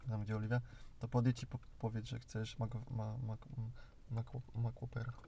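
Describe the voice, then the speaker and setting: Speaking at a moderate pace, the man has a medium pitch, a somewhat breathy, dark and mellow tone, and monotone, flat intonation. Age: 20s. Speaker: podcast host. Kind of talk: casual chat. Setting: in a car.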